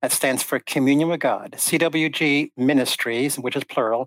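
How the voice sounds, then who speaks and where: An ordinary speaking voice from a man, fairly high-pitched and fairly slow, with fairly even intonation and a dry, close sound with no echo on a very clean recording with a silent background. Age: 60s. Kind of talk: interview conversation.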